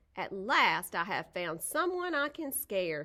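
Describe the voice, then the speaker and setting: Using a put-on character voice, a woman speaks at a medium pitch and a fairly slow pace with very wide pitch swings. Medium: read story.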